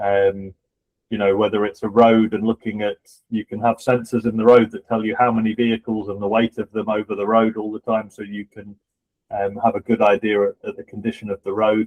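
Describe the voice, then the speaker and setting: A man speaks in a fairly low, monotone voice with flat intonation at a fairly quick pace. His loudness swings widely. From UK. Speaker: podcast co-host, political candidate. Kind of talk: interview discussion. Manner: hesitant with fillers.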